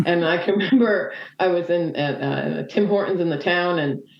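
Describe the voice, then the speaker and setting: Her pitch varying in an ordinary way, a woman with a Canadian accent speaks amid audible room echo. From Nova Scotia, Canada. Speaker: motorcyclist. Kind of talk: interview. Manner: hesitant, many fillers.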